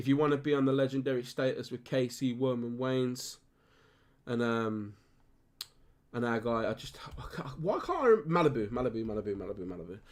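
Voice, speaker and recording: The speaker has a Birmingham accent and talks at a fairly quick pace with ordinary pitch variation. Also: man, medium pitch for a man. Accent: Birmingham (Brummie) English. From Birmingham, England. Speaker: gaming streamer. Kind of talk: casual live-stream chat.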